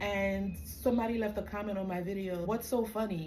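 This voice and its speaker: In a fairly slow delivery, a woman with a Caribbean accent speaks at a medium pitch, with audible room echo and noticeable background noise. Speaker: spiritual coach. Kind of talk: casual monologue.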